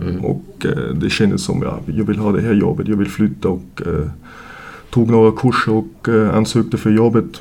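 A man with an Austrian accent, fairly low pitch and moderate pace, over noticeable background noise. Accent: Austrian German accent in Swedish. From Austria, Vienna. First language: German (speaking Swedish). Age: 30s. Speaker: junior ice hockey coach. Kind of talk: casual interview. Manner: halting, many fillers.

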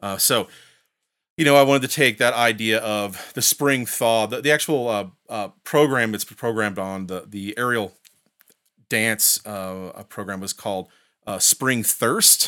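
On a very clean recording with a silent background, a voice in an American accent speaks at a fairly slow pace with a bright, sharp tone, ordinary pitch variation and big swings in loudness. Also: man, medium pitch for a man. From US Midwest, Indiana. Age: 40s. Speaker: composer and music professor. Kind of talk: casual interview. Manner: halting, many fillers.

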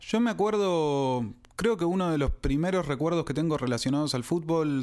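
Moderate pacing from an unremarkable speaking voice, captured on a very clean recording against a silent background. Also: man. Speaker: podcast co-host. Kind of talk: casual chat.

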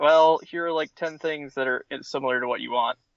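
This man has a normal speaking voice, pitched fairly high. He keeps a moderate pace and fairly even intonation. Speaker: casual comic fan. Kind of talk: casual interview chat.

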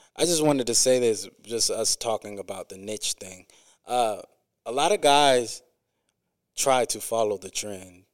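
Recorded dry and close with no echo, a man with an American accent speaks at a medium pitch with ordinary pitch variation, big swings in loudness and long, frequent pauses. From US Midwest, Quad Cities (East Moline, Illinois). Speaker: rapper. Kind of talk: casual interview chat. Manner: frequent um and uh fillers.

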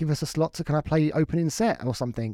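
A man with a southern English accent talks at a very fast pace in a dark, mellow tone. The recording is very clean, with a silent background. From Crawley, West Sussex, southern England. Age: 30s. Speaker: drum and bass producer and DJ. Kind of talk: casual chat. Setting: home studio.

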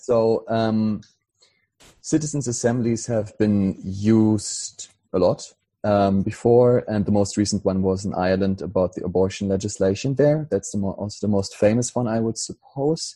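A man's dark, mellow, fairly low voice with a German accent, at a moderate pace and with ordinary pitch variation. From Germany. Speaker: political activist. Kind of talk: casual chat. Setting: video call.

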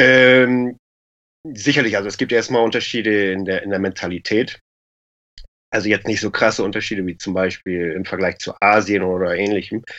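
Here a man speaks at a moderate pace. His speech has long, frequent pauses. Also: fairly low pitch for a man, fairly even intonation. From Lower Saxony, Germany. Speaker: e-commerce entrepreneur. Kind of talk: casual interview.

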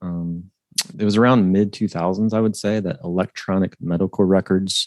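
With a Midwestern accent, a man speaks in a very deep, low voice with fairly even intonation, and the sound is dry and close with no echo. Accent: general Midwestern American. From Ohio, US Midwest. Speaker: financial planner, author. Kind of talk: interview conversation. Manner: halting, many fillers.

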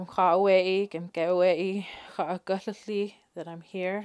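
A woman speaks at a fairly slow pace and medium pitch with monotone, flat intonation and big swings in loudness. The recording is very clean, with a silent background. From Isleta Pueblo, New Mexico. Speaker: volunteer gardener. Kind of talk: personal testimony.

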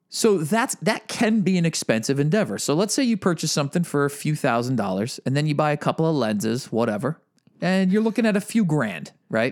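The speaker's pitch swings very widely at a fairly quick pace, with loudness held very even. The recording is very clean, with a silent background. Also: man, fairly high pitch for a man. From Massachusetts. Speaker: podcast co-host. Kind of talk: casual chat.

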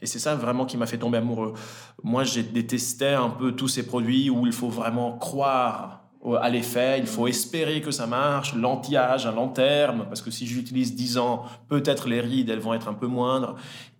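A man speaks at a moderate pace and medium pitch, in a monotone, flat intonation. Audible room echo and noticeable background noise are present. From Italy, then French-speaking Switzerland from age 10. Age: 30s. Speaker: entrepreneur, cosmetics brand founder. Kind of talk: podcast interview. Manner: hesitant, with frequent fillers and repetitions.

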